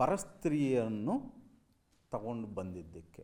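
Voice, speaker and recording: This man's voice has a dark, mellow tone at medium pitch. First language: Telugu (speaking Kannada). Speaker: university speaker. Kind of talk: commemorative speech. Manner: halting.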